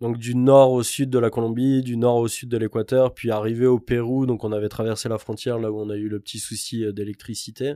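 Speaking at a fairly quick pace, a man with a medium pitch and a dark, mellow tone keeps a monotone, flat intonation on a very clean recording with a silent background. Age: 30s. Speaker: traveller, construction worker. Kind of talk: casual chat.

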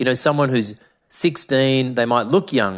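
In a very clean recording with a silent background, a man with an Australian accent speaks at a medium pitch and a moderate pace. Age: 40s. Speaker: podcast host. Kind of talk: monologue podcast.

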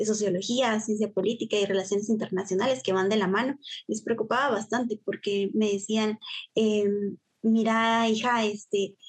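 A woman speaks at a moderate pace in a fairly high, somewhat breathy voice, with very even loudness and monotone, flat intonation. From Guatemala, Huehuetenango. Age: 20s. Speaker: university student and youth volunteer. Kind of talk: interview.

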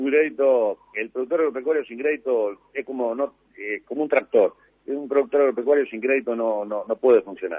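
This man talks at a fairly quick pace in a medium pitch. His pitch varies in an ordinary way. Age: 50s. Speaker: agriculture government official. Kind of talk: radio interview. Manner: halting.

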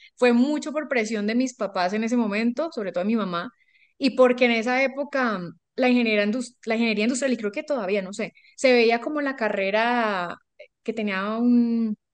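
With a Colombian accent, a woman talks at a moderate pace. Her pitch is fairly high, with ordinary pitch variation. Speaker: life coach. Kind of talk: interview storytelling.

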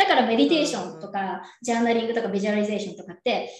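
Audible room echo surrounds this voice. It belongs to a woman with a fairly high pitch. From Japan, Yokohama. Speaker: entrepreneur and coach. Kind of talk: casual interview.

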